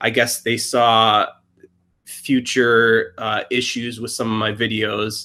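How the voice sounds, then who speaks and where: A man with a Wisconsin accent, medium in pitch with a bright, sharp tone, speaking very slowly in a monotone, flat intonation, on a very clean recording with a silent background. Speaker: YouTuber. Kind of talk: casual chat.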